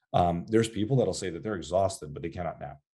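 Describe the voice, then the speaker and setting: A dark, mellow tone in a man's very deep, low voice. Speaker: psychiatrist and sleep doctor. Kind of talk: interview conversation. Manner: frequent fillers and restarts.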